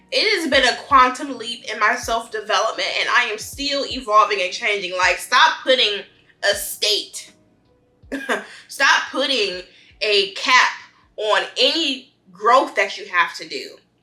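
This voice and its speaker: Music plays in the background as a woman speaks at a fairly slow pace. Her high voice has an animated tone and lively intonation. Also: big swings in loudness. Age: 20s. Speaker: lifestyle vlogger. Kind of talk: casual monologue. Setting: home, eating on camera.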